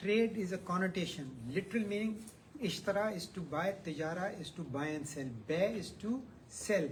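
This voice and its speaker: Over noticeable background noise, a high-pitched man talks at a moderate pace with ordinary pitch variation. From Pakistan. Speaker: former central bank official presenting on Islamic banking. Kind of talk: heated debate.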